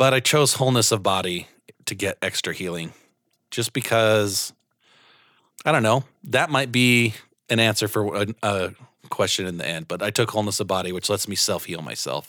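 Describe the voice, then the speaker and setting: The voice has a bright, sharp tone and leaves long, frequent pauses. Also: man, fairly low pitch for a man, ordinary pitch variation, moderate pace, very clean recording, silent background. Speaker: podcast host, tabletop RPG player. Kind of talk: casual chat.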